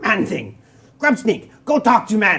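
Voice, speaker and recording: A put-on character voice, raspy and fairly high in pitch, at a fairly slow pace. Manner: broken, stunted speech.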